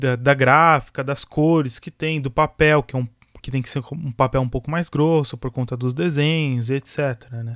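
A man has an unremarkable speaking voice, fairly high in pitch, at a moderate pace. The recording is very clean with a silent background, dry and close with no echo. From Brazil, São Paulo. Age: 20s. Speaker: podcast host. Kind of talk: casual monologue.

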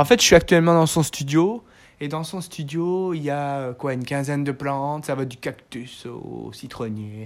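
On a very clean recording with a silent background, the words come fairly slowly. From Belgium. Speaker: podcast host, beekeeper. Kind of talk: casual chat. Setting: guest's home studio.

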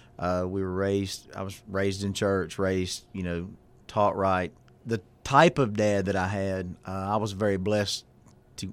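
In a very clean recording with a silent background, a man with a Southern US accent talks at a moderate pace, his fairly low voice held in a monotone, flat intonation. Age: 40s. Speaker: pastor. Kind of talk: casual chat.

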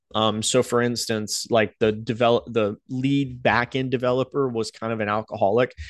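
A man with an American accent speaks at medium pitch in a monotone, flat delivery. His moderate pace has hardly any pauses, and the sound is dry and close with no echo. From US South, North Carolina Outer Banks. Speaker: YouTuber and web developer. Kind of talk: personal storytelling monologue. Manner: casual, halting with filler words.

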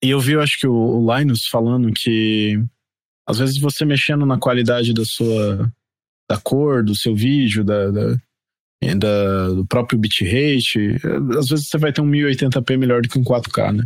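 A man with an ordinary speaking voice talks at a medium pitch and a fairly slow pace, with very even loudness, in a very clean recording with a silent background. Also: ordinary pitch variation. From Brazil, Mato Grosso do Sul (Campo Grande). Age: 30s. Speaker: podcast guest, gamer. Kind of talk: casual chat.

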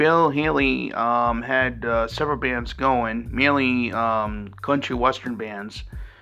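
Speaking at a very slow pace, a man keeps a medium pitch. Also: hardly any pauses. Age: 40s. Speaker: podcast host. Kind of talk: solo monologue on pop culture history. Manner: halting, many fillers.

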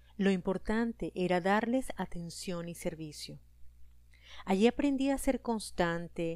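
The tone is dark and mellow, the pace fairly slow, and the pitch varies in an ordinary way. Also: woman. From Venezuela. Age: 40s. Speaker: podcast host and life coach. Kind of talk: scripted podcast monologue.

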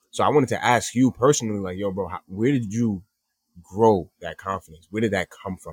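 Fairly quick and fairly low-pitched, a man with a plain, everyday voice talks with ordinary pitch variation and big swings in loudness, recorded very cleanly against a silent background with a dry, close sound and no echo. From Long Island suburbs, New York. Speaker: podcast host. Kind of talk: casual chat.

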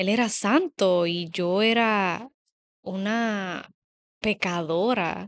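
Speaking with long, frequent pauses and ordinary pitch variation, a woman comes through in a dry, close sound with no echo against a quiet background. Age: 30s. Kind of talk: casual chat.

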